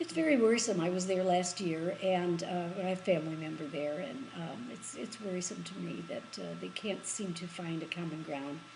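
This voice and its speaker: At a moderate pace with hardly any pauses, a woman with an American accent speaks at a fairly low pitch with ordinary pitch variation and big swings in loudness, and audible room echo surrounds her. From US Midwest, Michigan. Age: 80s+. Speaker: interviewee. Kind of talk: interview. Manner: halting.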